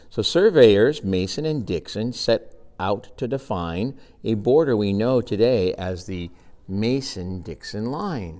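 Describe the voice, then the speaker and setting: Over a quiet background, a man with a fairly low pitch speaks at a very slow pace. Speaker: grandfather and teacher reading to grandchildren. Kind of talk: children's storybook reading. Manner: friendly, warm. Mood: warm, gentle. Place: classroom. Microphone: phone near.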